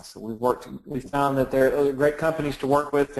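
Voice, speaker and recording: A man speaks with a Texan accent at a fairly quick pace. His intonation stays fairly even. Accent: Texan, noticeable. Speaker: software company presenter. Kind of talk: webinar presentation. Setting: online webinar.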